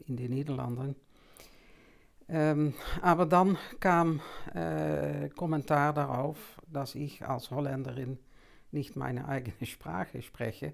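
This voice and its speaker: A woman with a Dutch accent speaks at a very slow pace in a very deep, low pitch, with vocal fry and lively intonation. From Netherlands, Amsterdam. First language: Dutch (speaking German). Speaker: anthroposophy teacher. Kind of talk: lecture. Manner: halting, with many fillers.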